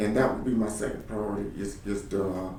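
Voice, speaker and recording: Audible room echo surrounds a man's fairly low, monotone, flat voice moving at a fairly quick pace. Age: 50s. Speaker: political candidate. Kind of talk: candidate interview answers. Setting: office. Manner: halting, many repeated words.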